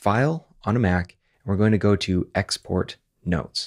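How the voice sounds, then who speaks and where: Over a quiet background, a man talks at a fairly low pitch with lively intonation. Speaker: software tutorial host. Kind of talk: tutorial.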